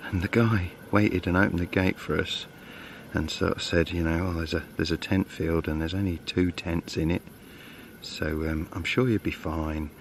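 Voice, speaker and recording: A man with a very deep, low pitch talks quietly at a fairly quick pace, with an English accent. His intonation stays fairly even. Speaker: bushcraft vlogger. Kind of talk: outdoor vlog. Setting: outdoors.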